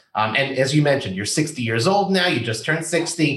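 The speaker has a plain, everyday voice. Pitch variation is ordinary. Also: man. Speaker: podcast host. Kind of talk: interview.

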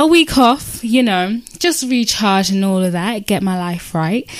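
At a fairly slow pace, a woman with an unremarkable speaking voice talks with lively intonation. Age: 20s. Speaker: podcast host. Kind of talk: casual chat.

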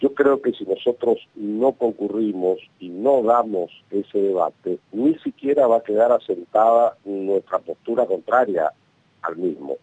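A man's medium-pitched voice with a dark, mellow tone, ordinary pitch variation and a fairly slow pace, in a dry, close sound with no echo. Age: 50s. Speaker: national congressman. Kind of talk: radio interview.

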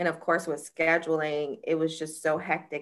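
A woman with an American accent speaks at a very deep, low pitch. Her tone is bright and sharp. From Jacksonville, Florida. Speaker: criminal defense attorney. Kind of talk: testimony.

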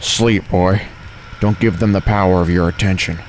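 In a put-on, growling character voice, a man speaks very deep and low at a moderate pace, with clear background noise behind him. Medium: read story. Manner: hard, snarling, commanding.

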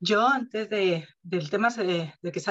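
A woman with an unremarkable speaking voice talks at a medium pitch with ordinary pitch variation. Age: 30s. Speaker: podcast co-host. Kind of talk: casual chat.

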